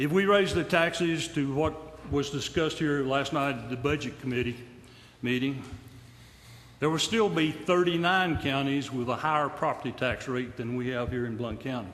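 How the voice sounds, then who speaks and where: An East Tennessee accent at a moderate pace, with long, frequent pauses, ordinary pitch variation and audible room echo. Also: man. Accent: East Tennessee Southern American. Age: 70s. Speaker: retiree speaking at public comment. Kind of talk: public comment at a county meeting. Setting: county commission room. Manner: halting.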